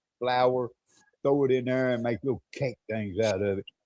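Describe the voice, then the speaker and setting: Here a man speaks in a Southern US accent. His medium pitch shows ordinary variation at a moderate pace. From US South, Mississippi. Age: 60s. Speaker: expat commentator on a live stream. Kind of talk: casual chat.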